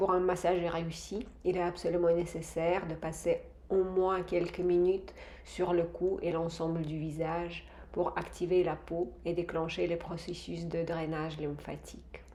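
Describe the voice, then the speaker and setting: In a dark, mellow tone, a woman speaks at a fairly slow pace and a fairly low pitch, with monotone, flat intonation and audible room echo. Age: 50s. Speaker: face yoga instructor. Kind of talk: tutorial. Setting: villa bathroom. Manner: calm, instructive.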